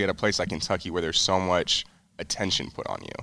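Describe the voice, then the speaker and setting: On a very clean recording with a silent background, a man with a very deep, low pitch speaks very fast in a bright, sharp tone. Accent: American. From Colorado. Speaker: podcast host, basketball team member. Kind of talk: casual interview.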